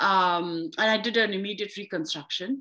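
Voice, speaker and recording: A woman's bright, sharp voice at a moderate pace. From India. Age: 40s. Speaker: yoga teacher and author. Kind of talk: interview conversation. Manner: halting, many fillers.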